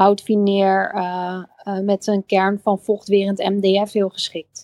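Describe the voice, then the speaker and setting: A woman talks in a monotone, flat delivery. The sound is dry and close, with no echo. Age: 30s. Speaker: interior designer. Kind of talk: casual chat. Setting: live audio room (Clubhouse).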